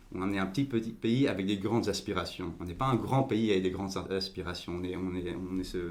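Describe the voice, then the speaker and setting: Very deep, low male voice amid audible room echo. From Belgium, Overijse near the language border. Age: 20s. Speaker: political party leader. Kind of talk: podcast interview. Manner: halting, many repetitions and fillers.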